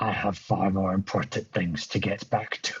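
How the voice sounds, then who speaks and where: In a raspy, put-on character voice, a man talks at a moderate pace and fairly low pitch. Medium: actual play. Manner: cryptic, evasive.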